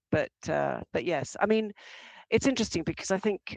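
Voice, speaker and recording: A woman talks with an English accent. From England. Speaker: arts administrator. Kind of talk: interview. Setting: podcast interview. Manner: halting.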